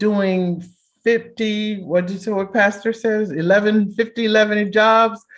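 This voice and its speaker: Speech comes at a fairly slow rate. Little can be heard behind it. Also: woman. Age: 60s. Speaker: clinical psychologist and therapist. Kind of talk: workshop talk.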